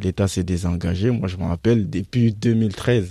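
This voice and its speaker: The voice has a dark, mellow tone and ordinary pitch variation at a fairly slow pace. The recording is very clean, with a silent background. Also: man. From Guinea. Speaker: former migrant. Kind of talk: radio panel discussion.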